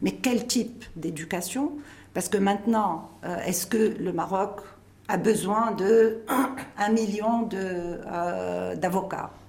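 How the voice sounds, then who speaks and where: A woman's voice with ordinary pitch variation, audible room echo and noticeable background noise. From Tunisia. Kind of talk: interview.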